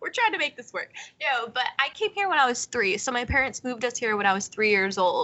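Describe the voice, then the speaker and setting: Against noticeable background noise, a woman with a high pitch talks at a very fast pace in an animated tone, her pitch swinging very widely. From Central Florida (born in Puerto Rico). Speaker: podcast guest, comedy podcaster. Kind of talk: casual chat. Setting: sitting on the floor at home.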